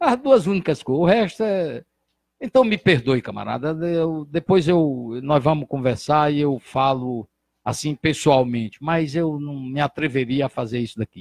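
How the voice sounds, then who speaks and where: A man with a fairly high pitch speaks fairly slowly with lively intonation, the sound dry with no echo and the background quiet. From Brazil, Ceará (Santana do Acaraú); Ceará, Brazil. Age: 60s. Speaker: physician and former politician; former politician. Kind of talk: interview. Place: studio. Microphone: handheld.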